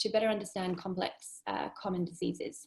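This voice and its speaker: With a somewhat breathy sound, the woman talks at a medium pitch. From UK. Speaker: epidemiology researcher. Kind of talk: academic seminar talk. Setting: video call. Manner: hesitant, many fillers.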